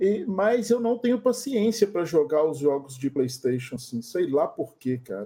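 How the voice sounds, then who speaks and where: A man's high-pitched voice with very wide pitch swings, a moderate pace and hardly any pauses. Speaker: podcast host. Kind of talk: casual chat.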